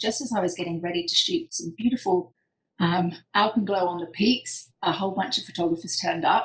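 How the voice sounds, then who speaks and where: A woman at medium pitch with a British accent, lively intonation and a fairly quick pace. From UK. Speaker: professional photographer. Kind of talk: presentation talk. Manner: hesitant with frequent fillers.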